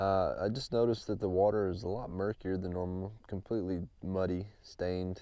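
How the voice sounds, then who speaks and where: Against a quiet background, a man with an unremarkable speaking voice talks at a moderate pace and a fairly low pitch. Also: dry sound with no echo. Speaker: angler vlogger. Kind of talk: casual vlog chat. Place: boat. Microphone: phone near.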